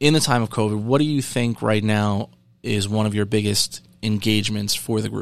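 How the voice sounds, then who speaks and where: At a moderate pace, a man with a plain, everyday voice speaks at a fairly low pitch with fairly even intonation. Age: 30s. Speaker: podcast host and game store owner. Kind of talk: casual chat.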